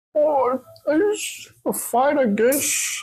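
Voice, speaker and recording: Someone speaks in a put-on character voice. The pitch is high. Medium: actual play. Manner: timid, stammering.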